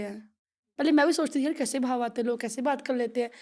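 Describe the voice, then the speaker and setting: Fairly even intonation on a very clean recording with a silent background. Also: woman. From Jammu, India (village, Dogra region). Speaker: devotional singer. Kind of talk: podcast interview. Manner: halting.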